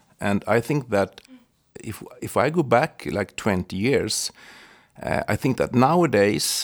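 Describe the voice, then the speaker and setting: A man at a medium pitch with a Swedish accent, lively intonation and a very slow pace. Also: dry, close sound with no echo. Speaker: podcast co-host, tax lawyer. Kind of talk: interview.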